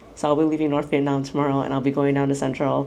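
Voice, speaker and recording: With an American accent, a woman speaks in a very deep, low pitch and a monotone, flat intonation. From United States. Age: 30s. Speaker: travel vlogger. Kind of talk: vlog narration. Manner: casual, filler-heavy.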